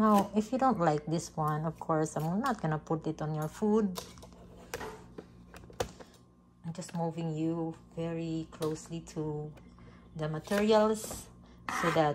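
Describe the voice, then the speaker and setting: A woman's fairly low voice with ordinary pitch variation, a very slow pace, long and frequent pauses, and noticeable background noise. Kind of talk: casual cooking vlog chat. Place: kitchen. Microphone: phone near.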